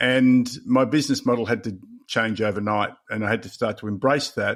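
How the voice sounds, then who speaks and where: A man's medium-pitched voice at a fairly quick pace, fairly even in intonation, on a very clean recording with a silent background. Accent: Australian. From Australia. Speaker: leadership coach and author. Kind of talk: podcast interview.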